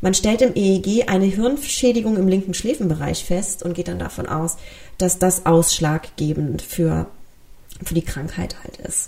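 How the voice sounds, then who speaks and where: Over noticeable background noise, a woman speaks at a fairly slow pace and a medium pitch. Her intonation is lively, with big swings in loudness. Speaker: true crime podcast host. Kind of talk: solo podcast narration. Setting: home recording with pet.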